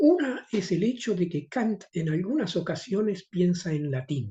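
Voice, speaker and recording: Against a quiet background, a man speaks at a fairly slow pace with a dark, mellow tone. His pitch sits high and moves in very wide swings. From Argentina, Río de la Plata. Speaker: philosophy professor and translator. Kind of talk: conference talk.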